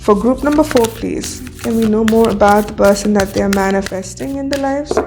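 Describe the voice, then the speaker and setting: A woman speaks at a fairly high pitch with ordinary pitch variation. Music plays in the background. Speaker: tarot and akashic records reader. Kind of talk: spiritual reading. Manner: hesitant fillers.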